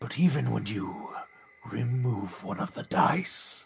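In a put-on character voice, a man speaks fairly slowly with a solemn tone, raspy and at medium pitch. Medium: actual play. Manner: solemn, measured, condescending.

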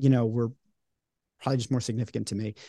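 A man's medium-pitched voice with a slight New York accent, dry and close with no echo, over a quiet background. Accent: non-regional, barely New York. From Long Island, New York. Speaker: podcast host and creator, interviewed this episode. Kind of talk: casual interview chat.

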